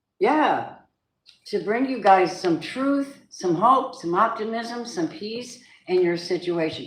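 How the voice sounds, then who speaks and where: Lively intonation marks a woman's speech, heard with audible room echo. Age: 70s. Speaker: tarot reader. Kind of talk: live tarot reading.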